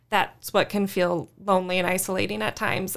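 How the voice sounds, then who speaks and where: A woman talks at a moderate pace with a medium pitch and fairly even intonation. She has an American accent and a plain, everyday voice. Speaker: church youth ministry worker. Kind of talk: casual interview.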